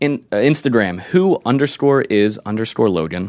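A man with an American accent, fairly low-pitched, lively in intonation, at a moderate pace. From Delaware County, Pennsylvania. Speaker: adult film performer. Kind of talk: casual interview.

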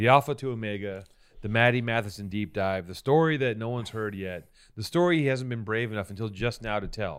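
Over a very clean recording with a silent background, a man with an American accent uses an ordinary speaking voice at medium pitch, talking at a fairly quick pace with ordinary pitch variation. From Venice, California. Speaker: podcast co-host and interviewer. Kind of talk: casual chat; mock-epic narration. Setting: studio.

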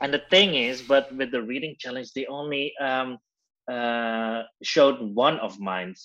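A man with a Dutch accent speaks at a fairly slow pace. His tone is bright and sharp against a quiet background. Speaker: drag queen, reality show contestant. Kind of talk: interview. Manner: halting.

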